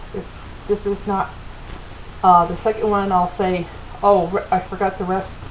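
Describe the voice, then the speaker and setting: Against noticeable background noise, a woman speaks at a moderate pace with a medium pitch. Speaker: home cooking video host. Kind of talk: cooking tutorial. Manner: casual, chatty.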